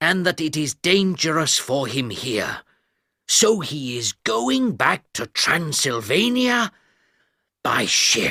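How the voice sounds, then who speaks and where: A man does a put-on character voice. He goes at a fairly slow pace with very wide pitch swings. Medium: read story.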